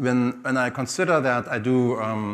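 The intonation is fairly even. It belongs to a man. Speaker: speaker. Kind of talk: conference talk. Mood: relaxed, lightly humorous. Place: stage. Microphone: headset.

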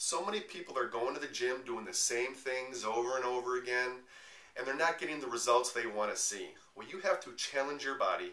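There is audible room echo as a man speaks at a fairly quick pace with ordinary pitch variation. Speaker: personal trainer. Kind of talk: promotional tutorial talk. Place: home room. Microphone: camera far.

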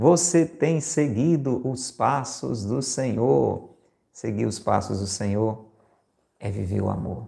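A man with a dark, mellow tone and vocal fry speaks at a very slow pace with lively intonation, against a quiet background. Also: medium pitch for a man. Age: 50s. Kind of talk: homily / spiritual reflection broadcast live. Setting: live stream and radio broadcast. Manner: conversational, addresses listeners directly. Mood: warm, persuasive, smiling. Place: home room. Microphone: lapel.

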